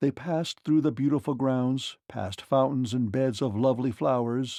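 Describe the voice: What you hear is plain reading aloud.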